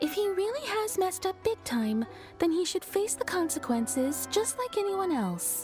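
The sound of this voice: A woman does a cartoonish character voice at an extremely high pitch, with big pitch swings and a slightly mellow tone. She talks at a fairly slow pace while faint music plays in the background.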